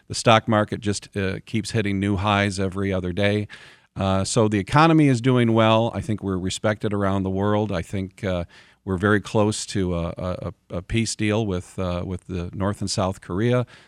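Speaking with an American accent in a normal speaking voice, a man with a fairly low pitch keeps a moderate pace and fairly even intonation, captured in a very clean, dry, close recording with no echo and a silent background. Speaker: local official and former state lawmaker. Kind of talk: radio interview. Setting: studio.

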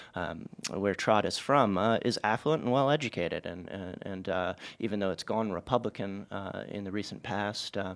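The recording is very clean with a silent background. A man speaks at a fairly quick pace with ordinary pitch variation. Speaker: political reporter. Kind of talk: radio interview. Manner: halting.

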